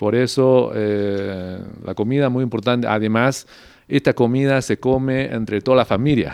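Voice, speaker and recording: A man in a Mandarin Chinese accent, medium in pitch, with fairly even intonation at a fairly slow pace. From China, Beijing. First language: Mandarin Chinese (speaking Spanish). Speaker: diplomat. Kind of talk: interview. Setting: ambassador's residence. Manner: halting, many fillers.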